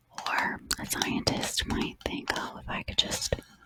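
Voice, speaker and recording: Noticeable background noise runs beneath a woman's whisper. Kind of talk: Bible study talk, ASMR style. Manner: whispered, soft, slow.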